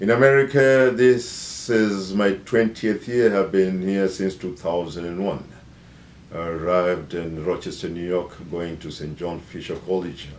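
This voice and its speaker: A man with a very deep, low voice speaks in a Kenyan accent, his pitch varying in an ordinary way. Audible room echo surrounds his words. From Kenya, Nairobi. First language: Bukusu. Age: 50s. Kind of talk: self-introduction. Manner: hesitant, many fillers.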